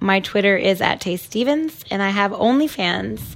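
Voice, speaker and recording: A woman's medium-pitched, unremarkable speaking voice at a moderate pace. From Toronto, Canada. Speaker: webcam model. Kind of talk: casual chat.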